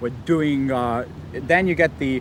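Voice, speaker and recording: Against noticeable background noise, a man's pitch rises and falls in an ordinary way. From Liverpool, England. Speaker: horse-drawn carriage driver. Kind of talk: interview answer.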